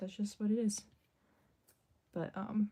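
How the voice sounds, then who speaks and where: Her tone is dark and mellow. This woman's voice carries some breathiness. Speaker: artist. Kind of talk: live stream chat while drawing. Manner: casual, many fillers (um, like).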